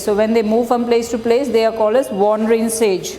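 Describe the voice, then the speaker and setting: A woman with a fairly high pitch is speaking. Noticeable background noise and audible room echo come through. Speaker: schoolteacher. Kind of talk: online class lesson. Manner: slow.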